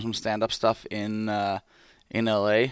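A man with a Finnish accent speaks in a fairly low pitch. The recording is very clean with a silent background, and the sound is dry and close with no echo. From Finland. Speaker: pro hockey player. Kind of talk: casual chat.

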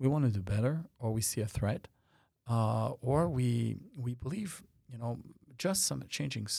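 A man speaks in a somewhat breathy voice. His tone is dark and mellow. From France. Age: 50s. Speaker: tech company founder and CEO. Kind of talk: interview. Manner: halting, repeats words.

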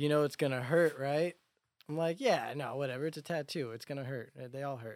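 An ordinary speaking voice, a man's at a fairly high pitch, moves at a fairly quick pace with fairly even intonation over a very clean recording with a silent background. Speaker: musician. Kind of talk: casual chat.

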